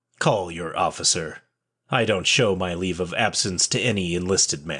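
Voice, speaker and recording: Against a quiet background, a man puts on a gruff, growling character voice with a very deep, low pitch at a moderate pace. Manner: growling, gruff.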